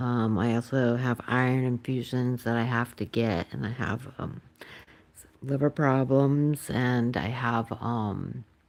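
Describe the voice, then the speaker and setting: A soft-spoken woman with a very deep, low pitch, fairly even intonation and a very slow pace. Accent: American. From Massachusetts, near Boston. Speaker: pet channel host, former nurse. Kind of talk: casual chat. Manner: halting, many fillers.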